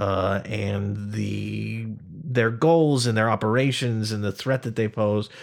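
A man with an American accent speaks in a fairly low voice. His intonation stays fairly even. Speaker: podcast host. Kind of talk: casual interview. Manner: chatty, informal, with filler words.

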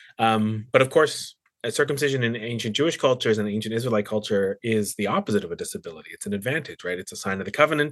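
A man speaks with a Canadian accent in an unremarkable speaking voice. His pitch is fairly low and varies in an ordinary way. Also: quiet background. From Canada, British Columbia (Surrey). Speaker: Bible professor and musician. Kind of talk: casual interview.

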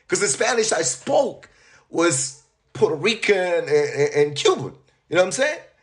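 With music in the background, a speaker with a New York accent talks at a moderate pace with very wide pitch swings. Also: man. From Long Island, New York. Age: 40s. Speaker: author, deportee. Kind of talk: interview. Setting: remote call.

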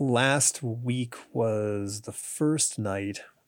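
His pitch moves in an ordinary way. The voice belongs to a man. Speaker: podcast host and comics writer. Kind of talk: casual interview.

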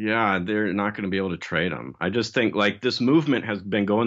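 A man talks at a fairly quick pace. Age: 30s. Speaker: engineer and stock blog editor. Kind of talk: interview. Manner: casual, many filler words.

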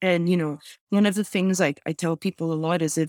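A woman with a Lebanese accent, fairly low pitch, fairly even intonation and a moderate pace, in a dry, close recording with no echo and a very clean, silent background. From Lebanon. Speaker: graphic designer and activist. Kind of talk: casual interview. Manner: halting, many fillers and repeats.

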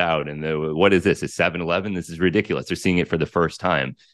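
A man talks in an American accent against a quiet background. His very deep, low voice has vocal fry and ordinary pitch variation. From United States. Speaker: journalist and psychedelic researcher. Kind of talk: interview conversation.

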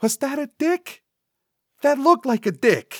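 A man's put-on character voice, extremely high-pitched with big pitch swings and a fairly bright tone, slow in pace, dry and close with no echo, on a very clean recording with a silent background

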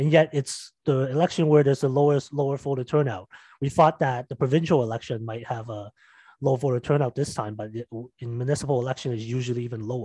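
Talking at a very fast pace, a man with a dark, mellow, somewhat breathy tone keeps his intonation fairly even, recorded dry and close with no echo against a quiet background. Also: medium pitch for a man. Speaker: podcast host. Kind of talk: casual interview.

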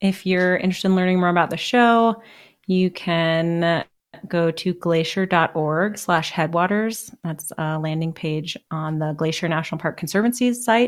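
A woman with a fairly low pitch uses an ordinary speaking voice at a moderate pace with ordinary pitch variation. The recording is very clean with a silent background. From US Pacific Northwest (Seattle). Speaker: park service science communicator, former geologist. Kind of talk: casual interview.

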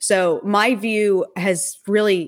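A woman speaks at medium pitch with ordinary pitch variation and an ordinary speaking voice. The recording is very clean, with a silent background. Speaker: panelist. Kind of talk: panel discussion, friendly debate.

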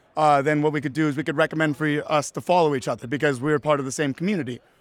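On a very clean recording with a silent background and a dry, close sound with no echo, a man with a fairly high pitch speaks with fairly even intonation. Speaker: crypto startup representative. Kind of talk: casual interview with product explanation. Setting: conference expo floor.

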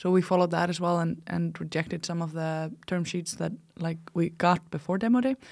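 A woman with an Icelandic accent speaks at a fairly quick pace in a fairly low pitch, with ordinary pitch variation, on a very clean recording with a silent background. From Iceland, small town in the north. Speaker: startup founder and CEO. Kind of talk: casual interview. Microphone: close to the mic.

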